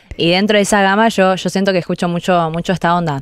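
A woman with a Rioplatense accent talks at a fairly quick pace with fairly even intonation. The background is quiet and the sound dry, with no echo. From Argentina. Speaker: singer; guest. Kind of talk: radio interview. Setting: radio studio. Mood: relaxed, thoughtful. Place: studio. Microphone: studio mic.

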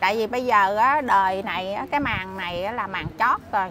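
A woman's very slow speech over noticeable background noise. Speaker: interviewee. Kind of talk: interview answer. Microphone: lapel.

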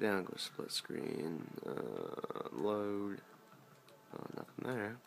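Light background noise accompanies words delivered at a very slow pace. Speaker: gamer showing a console mod. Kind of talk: casual screen-recorded gaming commentary. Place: home room. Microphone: phone near.

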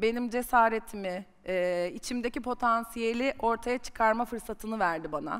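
Against a quiet background, a woman with an ordinary speaking voice talks at a moderate pace with hardly any pauses, her fairly high pitch showing ordinary pitch variation. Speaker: marketing executive; guest, sales executive. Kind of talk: personal career story on stage. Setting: conference stage with audience. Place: stage. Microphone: headset.

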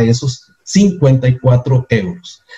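A man speaks at a medium pitch with a dark, mellow tone, somewhat breathy, and his intonation is lively. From Costa Rica. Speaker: network marketing presenter. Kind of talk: sales pitch. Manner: animated.

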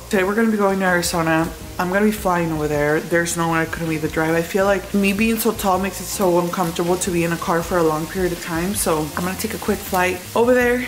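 With noticeable background noise behind her, a woman talks at a very fast pace. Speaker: vlogger. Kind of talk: casual vlog chat. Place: kitchen. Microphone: phone near.

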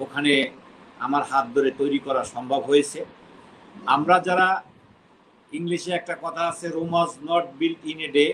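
It is an ordinary speaking voice from a man, fairly high in pitch with fairly even intonation. Light background noise can be heard. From Bangladesh. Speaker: expatriate businessman and insurance company chairman; interviewee. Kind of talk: interview, recounting his career. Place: home room. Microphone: video call.

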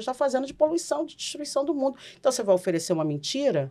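A woman speaks at a very fast pace and a high pitch against a quiet background. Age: 40s. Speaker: Umbanda priestess and podcast host; Umbanda priestess, podcast host. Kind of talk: casual podcast discussion on religion. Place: studio. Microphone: studio mic.

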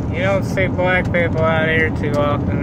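The speaker talks at a very slow pace over loud background noise. The sound is dry, with no echo. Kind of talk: casual vlog chat. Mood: irritated, offhand. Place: car. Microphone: phone near.

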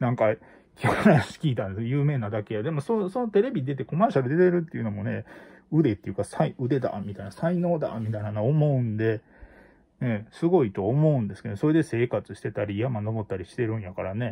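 The speech comes at a fairly quick pace with a Kansai accent and is somewhat breathy. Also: man, quiet background. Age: middle-aged. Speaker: YouTuber; livestream host. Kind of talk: casual monologue. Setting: at home. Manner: halting, many fillers. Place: home room. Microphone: phone near.

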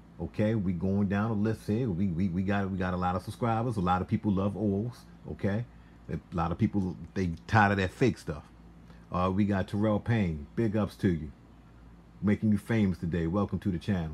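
A man speaks in an unremarkable speaking voice, fairly low in pitch with ordinary pitch variation. He talks at a fairly quick pace over light background noise. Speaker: small fragrance seller. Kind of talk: casual vlog chat. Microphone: phone near.

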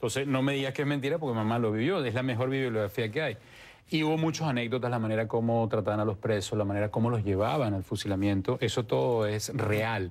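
Talking at a very fast pace, a man keeps very even loudness with ordinary pitch variation. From Venezuela, Puerto Ordaz; Venezuela. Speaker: novelist; interviewee. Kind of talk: interview. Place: studio. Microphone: lapel.

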